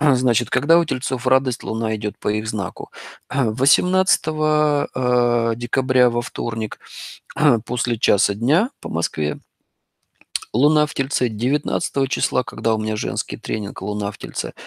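A man speaks at a medium pitch and a moderate pace, with ordinary pitch variation. His pauses are long and frequent, and the sound is dry and close with no echo. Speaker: astrologer. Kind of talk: lecture. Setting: live online broadcast with audience in hall.

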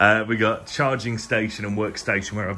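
A man's ordinary speaking voice, fairly low in pitch, with light background noise. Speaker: traveller vlogger. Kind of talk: casual vlog chat. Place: home room. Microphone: phone near.

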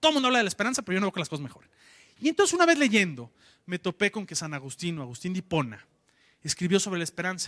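Talking at a very fast pace against a quiet background, a man uses a high pitch, a bright, sharp tone and very wide pitch swings, all in an animated delivery. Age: 30s. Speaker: entrepreneur, conference speaker; conference speaker. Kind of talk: conference talk. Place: hall. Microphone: handheld.

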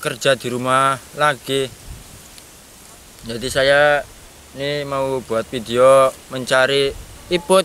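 A man talks at a very slow pace, the sound dry with no echo over light background noise. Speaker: vlogger. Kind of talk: casual vlog chat. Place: farm machine.

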